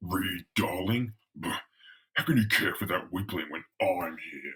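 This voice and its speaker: A man performs a put-on character voice at a very deep, low pitch. He talks at a fairly slow pace. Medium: read story. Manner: gruff, menacing.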